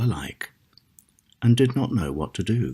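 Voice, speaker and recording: Vocal fry runs through this man's speech. He talks fairly slowly with lively intonation. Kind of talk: ASMR fairy tale reading.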